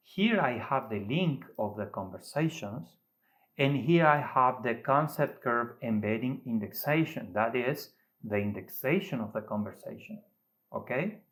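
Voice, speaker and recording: With a non-native accent and lively intonation, a man at medium pitch talks at a fairly slow pace in a very clean recording with a silent background. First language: Spanish. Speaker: AI method developer, tech YouTuber. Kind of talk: tutorial demonstration. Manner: halting.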